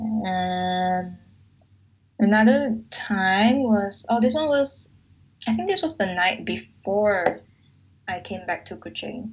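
Somewhat breathy, a woman talks at a very slow pace with ordinary pitch variation and long, frequent pauses. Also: medium pitch for a woman. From Malaysia. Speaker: podcast host. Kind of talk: casual chat.

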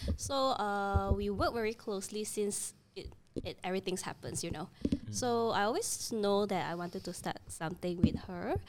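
A woman with medium pitch and ordinary pitch variation uses a normal speaking voice. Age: 30s. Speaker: creative studio co-founder. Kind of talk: casual chat.

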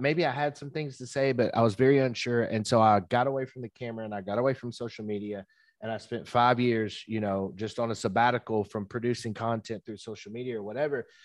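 Over a quiet background, a man with a Southern US accent talks at a very fast pace with hardly any pauses, fairly even intonation and big swings in loudness. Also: medium pitch for a man, dry, close sound with no echo. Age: 30s. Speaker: entrepreneur and business consultant. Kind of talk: casual interview. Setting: video call.

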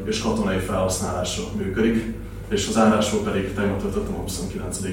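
A man's fairly low voice, very fast and flat in a monotone, with audible room echo and noticeable background noise. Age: 20s. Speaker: doctor and startup founder. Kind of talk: pitch and panel discussion. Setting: live event with audience.

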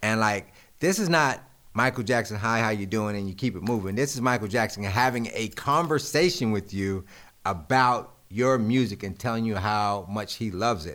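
In a normal speaking voice, a man talks at medium pitch and a moderate pace with ordinary pitch variation, on a very clean recording with a silent background. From Greensboro, North Carolina. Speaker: music producer. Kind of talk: casual chat. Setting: studio.

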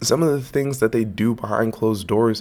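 A man with an American accent talks at a medium pitch and a moderate pace on a very clean recording with a silent background. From US West Coast, Los Angeles. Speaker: sports podcaster. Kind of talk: solo podcast commentary. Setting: home studio. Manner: casual with many filler words.

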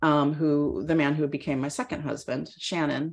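The recording is very clean, with a silent background. In it, a woman talks with a Californian accent. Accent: Californian American. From Northern California, Mendocino County. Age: 50s. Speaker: fitness coach and athlete. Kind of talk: casual interview.

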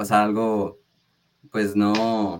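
A man's fairly low voice stays monotone, with flat intonation. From Mexico, Tijuana, Baja California. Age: young. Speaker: singer-songwriter and music producer. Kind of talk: radio interview.

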